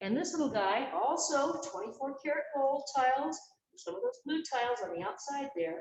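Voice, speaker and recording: An energetic woman with an American accent speaks at a moderate pace in a high pitch, her voice making very wide pitch swings. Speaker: fitness instructor and park guide. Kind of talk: exercise class instruction. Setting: indoor pool at a historic castle. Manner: energetic, counting aloud.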